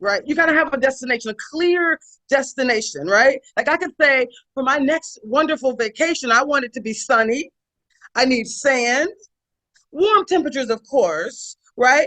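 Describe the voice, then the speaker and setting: Raised and projected, a woman's high voice comes through with an American accent and lively intonation at a moderate pace. Her tone is animated, bright and sharp, recorded dry and close with no echo. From US South. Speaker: leadership consultant. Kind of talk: webinar presentation.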